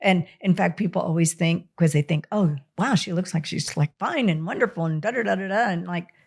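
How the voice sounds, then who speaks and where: A woman's fairly low, somewhat breathy voice at a fairly quick pace, with ordinary pitch variation, hardly any pauses, and a very clean recording with a silent background. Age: 60s. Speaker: doctor. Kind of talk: interview. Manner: animated.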